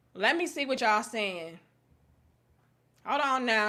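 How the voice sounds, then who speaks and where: In a raised, projected voice with an American accent, this speaker talks at a fairly slow pace in a bright, sharp, animated tone with very wide pitch swings. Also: woman. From US Midwest, St. Louis. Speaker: livestream commentator. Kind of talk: live stream commentary reading chat.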